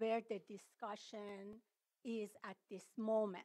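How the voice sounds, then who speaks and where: A woman speaks at a very slow pace with a fairly high pitch. Her background is quiet. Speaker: public commenter. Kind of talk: public comment at county meeting. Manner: halting, many fillers. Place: meeting room. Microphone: podium.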